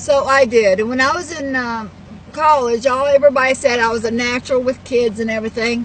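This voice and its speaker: A woman with a Texas accent speaks at a fairly quick pace and a high pitch. Her intonation is fairly even, and noticeable background noise can be heard. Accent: Southern US (Texas). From Texas, Houston. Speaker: network marketer and vlogger. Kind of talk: personal life story monologue. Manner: halting, many fillers.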